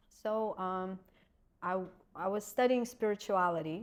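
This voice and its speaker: A woman with a Russian accent speaks at a moderate pace and medium pitch. Her pitch varies in an ordinary way over a quiet background. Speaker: acupuncturist and energy healer. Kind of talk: podcast interview.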